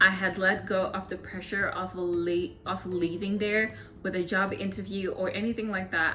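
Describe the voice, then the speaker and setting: An animated woman at medium pitch with hardly any pauses, with music in the background and audible room echo. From Zimbabwe. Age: 20s. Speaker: vlogger and electrical engineer. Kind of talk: casual Q&A vlog.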